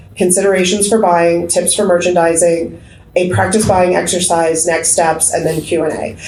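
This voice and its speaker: This woman's voice sits fairly low. Audible room echo and noticeable background noise surround her. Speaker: bookstore owner and panel moderator. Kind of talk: conference panel presentation. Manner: fast.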